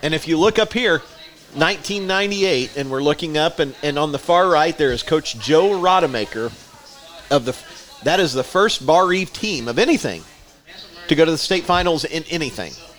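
An American accent marks this man's lively intonation, heard over noticeable background noise. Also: fairly high pitch for a man, moderate pace. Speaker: podcast co-host and teacher. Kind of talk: casual banter.

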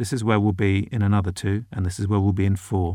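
A man with a British accent talks at a fairly low pitch. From Britain. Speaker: foreign correspondent. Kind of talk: casual interview. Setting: remote call from home.

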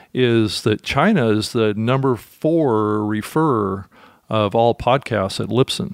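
On a very clean recording with a silent background, a man with an ordinary speaking voice talks at a fairly slow pace, medium in pitch with ordinary pitch variation. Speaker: podcast host. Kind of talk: podcast monologue and interview.

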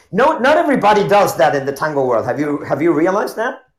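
Through audible room echo, a man speaks high in pitch at a fairly quick pace, with very wide pitch swings. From Argentina. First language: Spanish. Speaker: tango dancer. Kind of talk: casual chat. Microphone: earbuds with echo.

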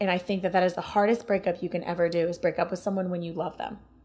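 With an Ohio accent, a woman speaks at a medium pitch and with fairly even intonation. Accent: Northern US (Ohio). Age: 20s. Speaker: podcast guest. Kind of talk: casual chat.

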